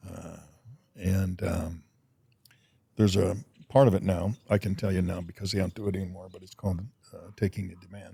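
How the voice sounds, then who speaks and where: His voice is very deep and low, with a dark, mellow tone and fairly even intonation. The man talks at a fairly quick pace, broken by long, frequent pauses. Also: big swings in loudness. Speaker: Vietnam war veteran. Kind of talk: casual chat. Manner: loud.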